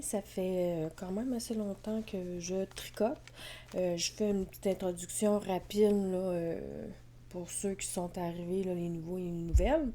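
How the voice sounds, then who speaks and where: Speaking very slowly in a Quebec accent, a woman has a medium pitch with ordinary pitch variation. Her tone is dark and mellow. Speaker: knitting podcaster. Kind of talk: casual vlog chat. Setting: at home with cats. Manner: hesitant, many fillers.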